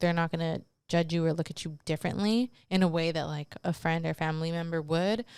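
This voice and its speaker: On a very clean recording with a silent background, a woman with a normal speaking voice talks fairly quickly at a fairly low pitch. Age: 30s. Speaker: podcast host. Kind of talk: casual podcast monologue giving relationship advice. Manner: casual, filler-heavy.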